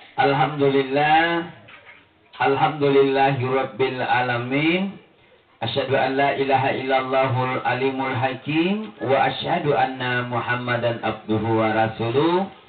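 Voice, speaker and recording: Music plays in the background as a man speaks. He keeps a fairly slow pace and very even loudness. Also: medium pitch for a man, ordinary pitch variation. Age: young. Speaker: Islamic preacher. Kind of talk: humorous religious sermon.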